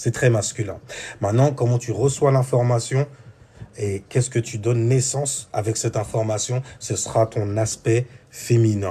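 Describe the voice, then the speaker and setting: A man speaks at a moderate pace in a medium pitch, somewhat breathy and dark and mellow in tone, with fairly even intonation. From France, Seine-Saint-Denis (Paris suburbs). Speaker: spiritual teacher. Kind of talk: spiritual talk. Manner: casual.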